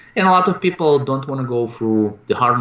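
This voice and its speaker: The speaker is a man with a Russian accent. He talks at a moderate pace. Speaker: real estate investor and coach. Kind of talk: interview. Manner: halting.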